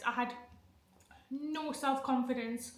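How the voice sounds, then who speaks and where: A woman's high, raised, projected voice at a very slow pace, over noticeable background noise. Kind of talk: casual talk to camera. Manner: stammering, with sound repetitions; nervous, emotional.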